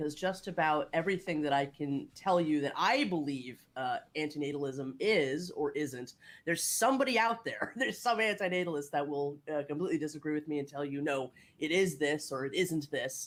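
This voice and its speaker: The speaker, with an American accent, talks at a fairly quick pace against noticeable background noise. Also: woman, hardly any pauses. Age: 30s. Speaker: podcast host and artist. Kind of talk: panel discussion.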